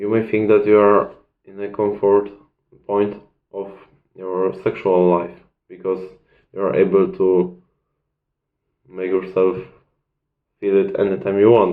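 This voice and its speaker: A man with a non-native accent speaks fairly slowly at a fairly low pitch, in a monotone, flat way with long, frequent pauses. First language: not English. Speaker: self-improvement video creator. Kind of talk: casual talking-head advice video. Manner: halting, searching for words.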